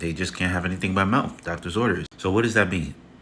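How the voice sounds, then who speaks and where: A man rushes along at a very fast pace, his pitch varying in an ordinary way, while noticeable background noise plays. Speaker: health content creator. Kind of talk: casual tutorial monologue. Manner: halting, with false starts.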